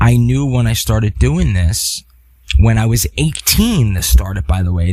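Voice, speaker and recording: A man with a dark, mellow, somewhat breathy tone speaks at a fairly slow pace, his pitch swinging very widely. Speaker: podcast host. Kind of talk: solo podcast monologue. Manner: halting.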